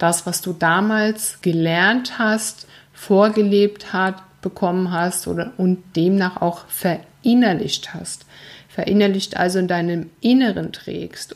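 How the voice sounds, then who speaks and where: At a very slow pace, a woman talks with a medium pitch. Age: 40s. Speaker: life coach and podcast host. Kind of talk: solo podcast monologue, motivational. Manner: earnest, emphatic.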